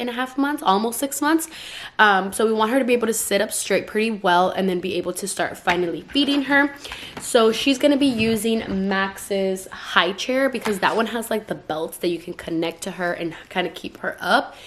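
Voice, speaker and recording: With noticeable background noise behind her, a woman with a fairly high pitch speaks in an animated tone. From California (Stockton), Mexican-American. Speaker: YouTuber, mom vlogger. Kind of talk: casual vlog haul. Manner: fast.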